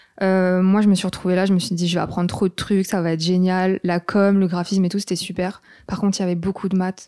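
In a very clean recording with a silent background, a woman speaks at medium pitch in a dark, mellow tone. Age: 20s. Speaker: freelance graphic designer. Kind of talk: casual interview.

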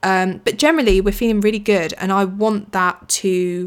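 The woman has a British accent. Her intonation is fairly even throughout. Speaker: podcast host. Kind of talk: casual solo chat. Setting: home recording.

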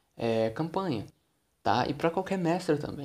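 The recording is very clean and the background silent. A man speaks at a fairly quick pace. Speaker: podcast host, tabletop RPG game master. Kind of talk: solo podcast monologue. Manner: casual, conversational.

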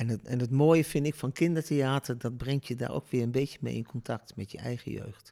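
A man's medium-pitched, dark and mellow voice with fairly even intonation and hardly any pauses. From Netherlands, Deventer. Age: 60s. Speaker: storytelling impresario. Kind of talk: interview. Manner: hesitant, many fillers.

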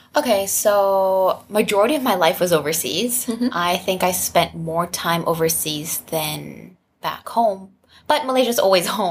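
Talking at a fairly slow pace, a woman uses medium pitch and lively intonation. Her voice carries vocal fry. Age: 20s. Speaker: sex-positive content creator and advocate. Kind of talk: casual chat.

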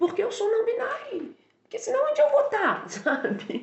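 A woman talks with very wide pitch swings. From Brazil, Minas Gerais (Barbacena). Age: 30s. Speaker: university language teacher and translator. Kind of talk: casual interview.

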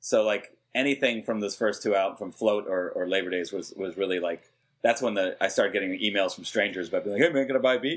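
With an American accent, a man speaks at a very fast pace and a fairly low pitch, showing ordinary pitch variation in a very clean recording with a silent background. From New York. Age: 40s. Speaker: hip hop producer. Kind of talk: casual interview.

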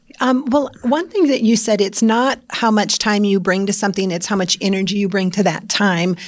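A woman with an American accent has an unremarkable speaking voice. She talks at a moderate pace and a medium pitch. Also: ordinary pitch variation, hardly any pauses. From Iowa, US Midwest. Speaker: podcast co-host, leadership consultant. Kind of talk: casual chat.

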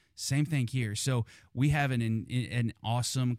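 A man speaks with fairly even intonation in a dry, close sound with no echo. The recording is very clean, with a silent background. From Kansas. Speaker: university athletics fundraiser. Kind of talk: casual interview. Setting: studio. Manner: halting, many repeated words.

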